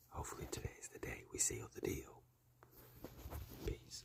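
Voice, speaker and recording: A whispering man with long, frequent pauses. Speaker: hunting vlogger. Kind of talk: outdoor vlog narration. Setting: outdoors.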